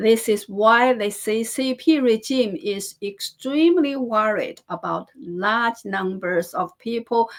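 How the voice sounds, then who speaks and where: A woman's fairly high voice with lively intonation at a very slow pace. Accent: Chinese. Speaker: political news commentator. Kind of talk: news commentary. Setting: on camera, home studio. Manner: halting, frequent self-corrections.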